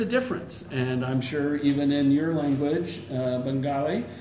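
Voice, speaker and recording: Room echo and noticeable background noise surround the recording. A man with a fairly high pitch speaks at a fairly slow pace. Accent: American. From United States. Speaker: English teacher. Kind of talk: casual interview conversation.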